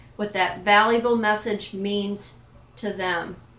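Noticeable background noise sits behind a woman with a fairly high pitch. Her intonation is fairly even and her pace fairly slow. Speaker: life and business coach, vlogger. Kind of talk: pep talk, motivational monologue to camera. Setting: home kitchen, self-recorded video. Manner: earnest, emphatic, direct, encouraging.

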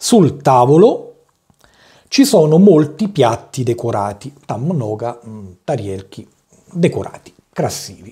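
A man speaks very slowly with long, frequent pauses in a somewhat breathy voice, dark and mellow in tone, against a quiet background. His pitch is fairly high, with very wide swings. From Italy. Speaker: language teacher. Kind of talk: tutorial. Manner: halting. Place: home room.

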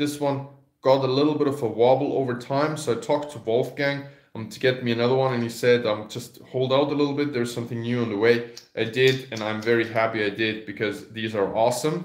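Amid audible room echo, a man talks at a very fast pace with fairly even intonation. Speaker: carving teacher. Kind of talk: product demo tutorial. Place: home room. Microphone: phone near.

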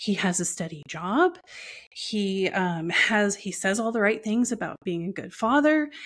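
A woman speaks with lively intonation against a quiet background. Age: 40s. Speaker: entrepreneur and abuse survivor sharing her story. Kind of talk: personal testimony in interview. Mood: reflective, personal story. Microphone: earbuds.

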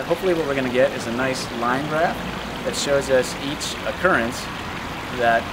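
A man talks at a fairly quick pace. Loud background noise sits behind him. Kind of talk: explainer to camera. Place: waterside. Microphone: camera far.

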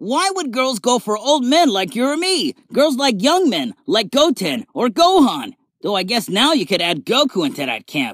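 With hardly any pauses, a man talks at an extremely high pitch with very wide pitch swings, the sound dry and close with no echo. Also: moderate pace. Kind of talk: fan dub line reading, voice-acting auditions with retakes. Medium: fan dub.

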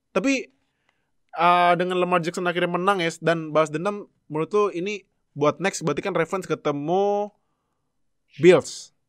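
Over a quiet background, the talking keeps a moderate pace. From Indonesia. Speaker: podcast host, NFL fan. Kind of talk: casual sports review chat. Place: home room. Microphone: video call.

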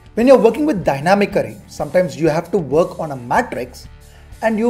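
With faint music in the background, a man with a high pitch speaks at a fairly quick pace. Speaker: spreadsheet instructor. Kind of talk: tutorial.

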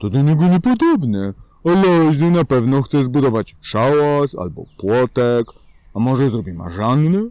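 Using a put-on character voice, a man speaks at medium pitch. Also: moderate pace. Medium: read story. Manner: soft, mumbling.

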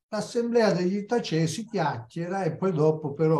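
A man speaks with a dark, mellow tone and lively intonation. His voice is somewhat breathy. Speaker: history commentator. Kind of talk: lecture. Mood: reflective, slightly wry. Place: home room. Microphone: video call.

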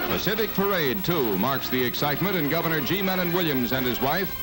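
Clear music plays in the background. The speech moves at a fairly quick pace. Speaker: newsreel narrator. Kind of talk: newsreel narration. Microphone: old recording.

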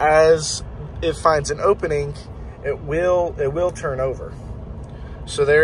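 A man speaks in a dry sound with no echo over light background noise. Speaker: driver demonstrating vehicle feature. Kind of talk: tutorial. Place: car. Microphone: phone near.

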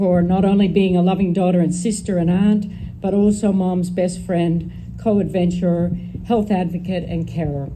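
A woman speaks in an American accent, fairly low in pitch, with a dark, mellow tone and a somewhat breathy quality. Her pace is fairly slow, her intonation fairly even, and light background noise sits behind her. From Northern California. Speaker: daughter of the deceased giving eulogy. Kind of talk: eulogy reading. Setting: memorial gathering with audience. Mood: emotional, fond, grateful. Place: garden. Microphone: podium.

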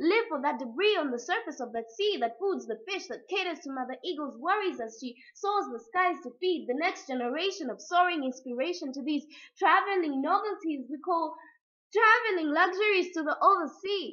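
The background is quiet as a woman speaks at a moderate pace. Her voice is extremely high and swings a lot in loudness. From Africa. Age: young. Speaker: spoken word poet. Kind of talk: poetry reading. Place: home room. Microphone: webcam.

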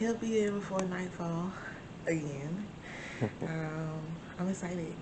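A woman's pitch varies in an ordinary way while noticeable background noise carries on. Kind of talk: casual vlog chat. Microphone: phone near.

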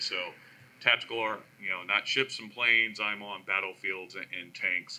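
Talking at a moderate pace with an American accent, a man has a bright, sharp tone over light background noise. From US. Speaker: army civilian technology program manager. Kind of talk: panel discussion answer. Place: hall. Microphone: camera far.

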